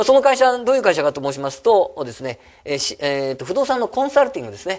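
The pitch of this man's speech rises and falls across a very wide range. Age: 50s. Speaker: real estate company head and seminar speaker; presenter. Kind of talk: seminar talk. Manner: many fillers, halting. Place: meeting room. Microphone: podium.

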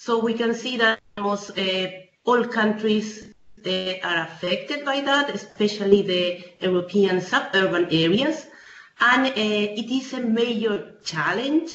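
In a room with audible echo and light background noise, a woman talks at a fairly slow pace with a fairly high pitch. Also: ordinary pitch variation. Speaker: urban policy researcher. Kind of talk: webinar presentation. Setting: video call. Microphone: video call.

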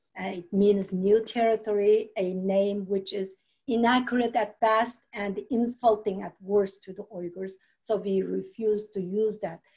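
Against a quiet background, a woman with a Xinjiang accent speaks fairly slowly in a dark, mellow tone with monotone, flat intonation. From East Turkestan (Xinjiang, China). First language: Uyghur. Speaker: human rights activist. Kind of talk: webinar panel talk. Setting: video call. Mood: earnest, calm. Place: home room. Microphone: video call.

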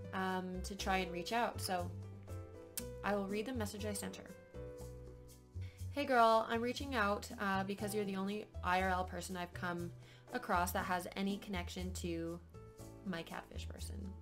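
Clear music plays in the background as a woman speaks at a moderate pace. She leaves long, frequent pauses. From Canada. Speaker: vlogger. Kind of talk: casual storytime talk to camera. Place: home room. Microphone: webcam.

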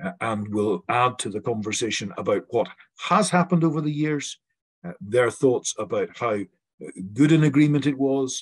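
Pitched fairly low, a man talks at a moderate pace with a slightly husky edge.

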